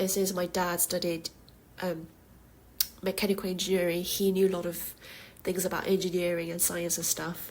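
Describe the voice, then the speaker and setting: Her pitch fairly low for a woman, she speaks in a monotone, flat way with long, frequent pauses. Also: moderate pace. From South Korea, Jeju Island. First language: Korean. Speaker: podcast host. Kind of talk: casual monologue. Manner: halting, with fillers.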